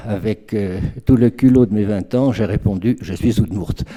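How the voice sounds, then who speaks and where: Speaking at a fairly slow pace, a man has a dark, mellow tone and a fairly low pitch. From France. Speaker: literary scholar. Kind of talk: lecture. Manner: halting.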